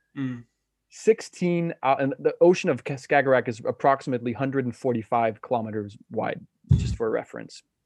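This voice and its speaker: The speaker has a Danish accent, and the sound is dry and close with no echo. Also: man, medium pitch for a man, ordinary pitch variation, moderate pace. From Denmark, west coast of Jutland. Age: 20s. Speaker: professional paddleboarder. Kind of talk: casual chat.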